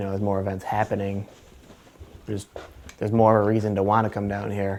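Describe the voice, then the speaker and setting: Over noticeable background noise, someone with an American accent talks very fast in a flat, monotone delivery. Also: man. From Michigan, Redford (Detroit area). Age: 20s. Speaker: university student. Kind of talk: documentary interview.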